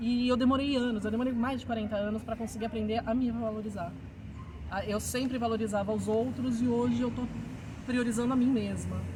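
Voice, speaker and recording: Audible room echo and noticeable background noise surround a woman. She speaks at a fairly quick pace in a monotone, flat intonation. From Brazil, São Paulo. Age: 40s. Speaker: teacher and writer. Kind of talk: interview. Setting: outdoors. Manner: halting.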